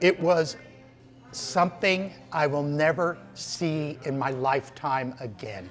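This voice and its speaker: The speaker's intonation is lively, with music playing in the background. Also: man. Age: 60s. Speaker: visiting tourist. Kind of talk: interview. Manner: animated.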